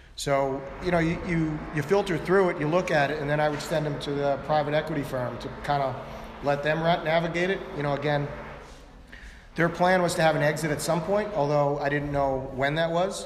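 Noticeable background noise and audible room echo fill this recording of a man with an American accent. He talks at a fairly quick pace with a fairly high pitch. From Long Island, New York. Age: 50s. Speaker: tech entrepreneur. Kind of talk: onstage interview.

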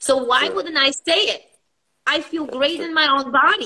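Her voice is high, bright and sharp, raised and projected. The woman speaks at a fairly slow pace with lively intonation. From Poland. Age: 40s. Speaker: fitness and high performance coach. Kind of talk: casual interview chat. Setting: video call. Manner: animated, enthusiastic.

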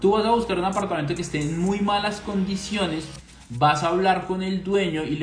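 An animated man at a moderate pace, ordinary pitch variation, audible room echo and music in the background. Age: 30s. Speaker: finance podcast host. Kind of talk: casual monologue.

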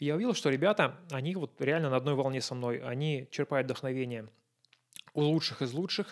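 This is an ordinary speaking voice from a man with fairly high pitch. He talks at a fairly quick pace with ordinary pitch variation. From Russia. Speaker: photographer. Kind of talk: casual chat.

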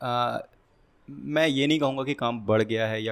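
A man with a normal speaking voice and medium pitch speaks at a moderate pace. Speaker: programming content creator. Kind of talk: casual interview.

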